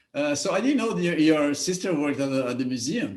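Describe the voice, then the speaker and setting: A man with a fairly high-pitched voice speaks amid audible room echo. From Brazil. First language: Portuguese. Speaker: show host. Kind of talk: interview. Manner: halting, repeats words.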